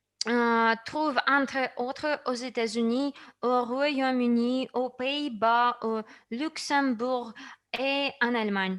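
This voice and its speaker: A woman's high-pitched voice at a very slow pace, with fairly even intonation. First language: not French (speaking French). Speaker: company presenter. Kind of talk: product presentation. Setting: online session.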